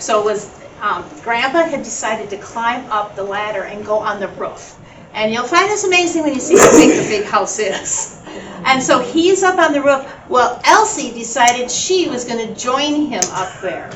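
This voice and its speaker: A high-pitched woman's voice with very wide pitch swings at a moderate pace, plus audible room echo and noticeable background noise. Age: 70s. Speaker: family elder sharing family history. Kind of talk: storytelling at family gathering. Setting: family reunion gathering.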